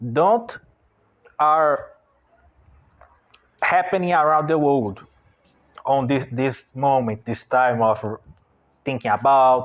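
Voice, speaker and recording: Speaking with a Brazilian Portuguese accent, a man uses a fairly high pitch with ordinary pitch variation. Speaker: online business owner and artist. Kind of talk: unscripted monologue. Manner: halting.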